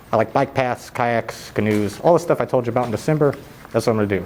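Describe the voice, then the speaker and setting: Talking at a very fast pace with ordinary pitch variation, a man is heard over noticeable background noise. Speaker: public commenter and YouTube channel owner. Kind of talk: public comment at council meeting. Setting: council meeting hall. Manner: too quiet at first.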